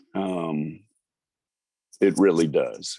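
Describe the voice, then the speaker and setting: Recorded dry and close with no echo, a man speaks with a Texan accent. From Texas (Houston, Conroe). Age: 60s. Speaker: singer-songwriter and musician. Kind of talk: interview. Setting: video call. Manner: halting, many fillers.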